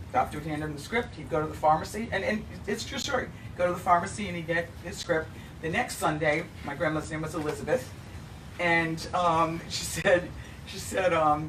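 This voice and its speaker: Over noticeable background noise and audible room echo, a woman with a fairly low pitch speaks with big swings in loudness. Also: ordinary pitch variation, fairly quick pace. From New England. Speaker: bourbon brand representative. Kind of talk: casual talk show chat.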